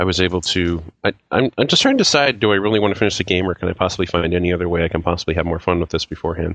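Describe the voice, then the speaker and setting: This man's pitch is very deep and low. He talks at a very fast pace with very even loudness. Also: fairly even intonation. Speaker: podcast panelist. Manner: casual, conversational.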